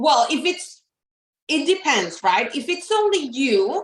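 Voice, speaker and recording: A woman with a Spanish accent, very wide pitch swings and a very slow pace. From Mexico. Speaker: therapist and counseling practice owner. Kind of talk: interview.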